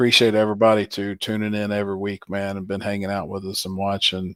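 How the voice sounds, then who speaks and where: A man speaks at a fairly quick pace. His voice sits fairly low. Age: 40s. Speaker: racing podcast host. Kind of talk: casual chat. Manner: animated.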